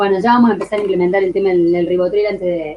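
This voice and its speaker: A woman's voice at a medium pitch. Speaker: law course teacher. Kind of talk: online lecture. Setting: live online class. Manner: fast; animated.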